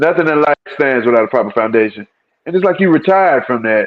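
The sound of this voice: With lively intonation, a man talks at a fairly quick pace and a medium pitch.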